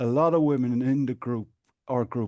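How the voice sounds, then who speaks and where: A man in an Irish accent with a dark, mellow tone, medium pitch, ordinary pitch variation and moderate pace, against a quiet background. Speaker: patient advocate and support group administrator. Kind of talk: podcast interview.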